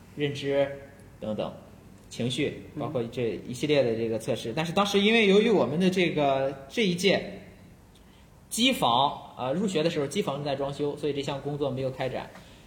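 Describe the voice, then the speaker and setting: This man's voice sits fairly high and sounds somewhat breathy, with lively intonation. He talks at a moderate pace, and the room echo is audible. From China, Shandong. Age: young. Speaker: school psychology teacher. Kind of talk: casual chat.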